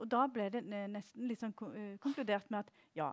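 At a fairly slow pace, a woman with a plain, everyday voice speaks at medium pitch in a dry, close sound with no echo. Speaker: researcher presenting report. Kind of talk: conference presentation.

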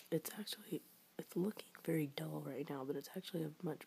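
A soft-spoken voice. It moves at a moderate pace. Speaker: vlogger. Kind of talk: casual haul vlog chat. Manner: soft-spoken, hushed ASMR voice. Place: home room. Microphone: phone near.

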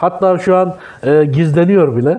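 A man speaks with a high pitch. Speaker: food vlogger. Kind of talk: casual vlog chat. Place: cafe. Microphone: lapel.

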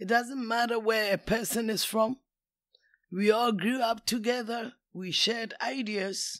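A woman with a Ghanaian accent and a fairly high voice, fairly even in intonation, at a fairly slow pace. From Kumasi, Ghana. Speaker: retired teacher, immigrant elder. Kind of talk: interview answer.

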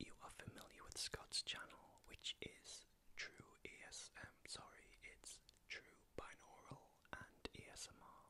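Whispering at a fairly slow pace, a man's volume rises and falls in big swings. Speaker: ASMR creator. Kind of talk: whispered ASMR channel chat. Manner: soft close-mic ASMR speech. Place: home room. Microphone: studio mic.

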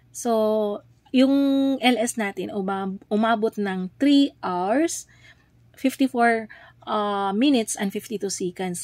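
A woman talks at a very slow pace with lively intonation. The recording is very clean, with a silent background and a dry, close sound with no echo. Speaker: YouTube livestreamer. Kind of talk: tutorial. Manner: casual, filler-heavy with frequent 'ayan'.

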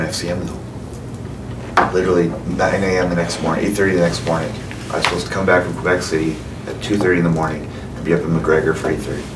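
With a Canadian prairie accent and a very deep, low pitch, a man speaks at a very fast pace broken by long, frequent pauses, amid noticeable background noise and audible room echo. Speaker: mayor chairing council meeting. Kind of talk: council meeting discussion. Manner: mumbling.

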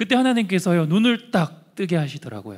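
A somewhat breathy man's voice at a moderate pace, with very wide pitch swings, over a quiet background. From Andong, North Gyeongsang, South Korea; South Korea. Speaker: social enterprise founder; guest. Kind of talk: testimony. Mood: warm, earnest storytelling. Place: hall. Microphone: handheld.

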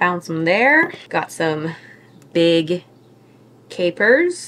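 A woman speaks at a fairly low pitch over light background noise. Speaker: vlogger. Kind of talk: casual vlog chat. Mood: cheerful, relaxed. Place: kitchen. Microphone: phone near.

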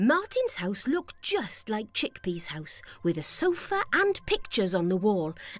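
Reading in an unforced voice

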